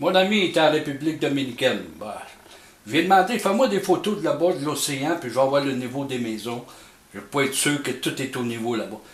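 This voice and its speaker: A man with a Quebec accent at a fairly high pitch and a fairly quick pace, with lively intonation, big swings in loudness, audible room echo and noticeable background noise. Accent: Québécois French. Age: 70s. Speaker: amateur experimenter, YouTuber. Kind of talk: casual explanatory monologue. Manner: halting, hesitant.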